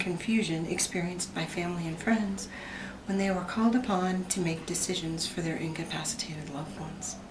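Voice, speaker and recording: Amid noticeable background noise and audible room echo, a woman talks at a fairly quick pace with fairly even intonation. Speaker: student presenter, emergency room healthcare worker. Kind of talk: class presentation.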